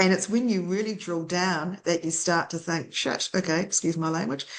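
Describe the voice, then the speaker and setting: Against a quiet background, a woman with a New Zealand accent speaks at a fairly low pitch with ordinary pitch variation. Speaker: data centre industry consultant. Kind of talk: interview.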